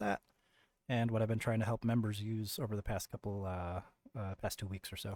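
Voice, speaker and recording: Very fast and fairly even in intonation, a man's medium-pitched voice comes through a very clean recording with a silent background and a dry, close sound with no echo. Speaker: trading educator. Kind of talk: tutorial. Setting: screen recording, no camera. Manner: casual with many fillers.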